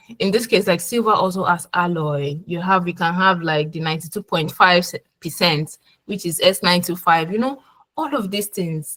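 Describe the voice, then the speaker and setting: A woman's somewhat breathy, fairly low voice at a moderate pace. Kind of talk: webinar presentation. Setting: online webinar.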